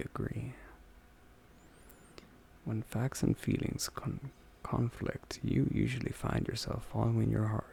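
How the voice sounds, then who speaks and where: Whispering at a very slow pace, with long, frequent pauses. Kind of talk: ASMR personality quiz talk-through. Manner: whispered, soft-spoken.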